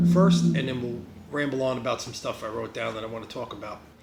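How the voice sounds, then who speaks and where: A man with a New Jersey accent at medium pitch and ordinary pitch variation, with audible room echo and noticeable background noise. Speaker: vlogger. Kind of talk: casual vlog. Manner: rambling, halting with fillers.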